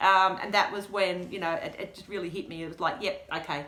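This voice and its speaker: An animated woman with a bright, sharp tone and an Australian accent talks at a moderate pace with ordinary pitch variation, audible room echo around her. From Australia, rural western Victoria. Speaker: deafblind guide dog client speaker. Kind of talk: presentation Q&A.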